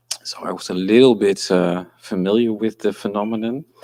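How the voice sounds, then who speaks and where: A man speaks with a Dutch accent at a fairly low pitch. The recording is very clean, with a silent background. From Netherlands. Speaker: architectural historian. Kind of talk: conference talk. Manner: halting.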